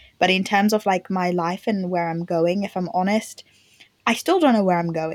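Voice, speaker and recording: At a fairly quick pace, a woman with a medium pitch and a normal speaking voice talks with fairly even intonation, the sound dry and close with no echo. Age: 20s. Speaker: panel member, works in transport. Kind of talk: casual chat.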